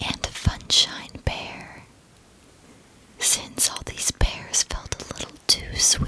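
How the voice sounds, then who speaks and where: Whispering with big swings in loudness, a woman speaks at a very slow pace with long, frequent pauses over noticeable background noise. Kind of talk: ASMR whispered history narration. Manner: whispered.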